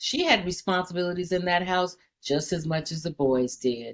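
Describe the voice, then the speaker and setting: A woman's unremarkable speaking voice, fairly low in pitch, at a moderate pace. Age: 60s. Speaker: daycare owner. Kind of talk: casual chat.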